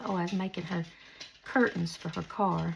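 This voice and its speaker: Soft-spoken and somewhat breathy, a woman is talking. She keeps a moderate pace. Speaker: crafter. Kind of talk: tutorial. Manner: casual chatty. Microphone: no lapel mic, maybe quiet.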